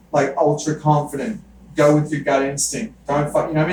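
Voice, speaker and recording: Against noticeable background noise, a man with an Australian accent talks very fast in a fairly high voice. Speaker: podcast host. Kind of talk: casual chat. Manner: animated.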